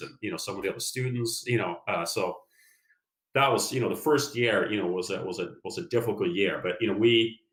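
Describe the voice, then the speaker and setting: In a Norwegian accent, a man speaks at a very fast pace and a medium pitch. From Norway, west side of Oslo. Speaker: business executive, former engineer. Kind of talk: interview. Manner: hesitant, heavy use of fillers.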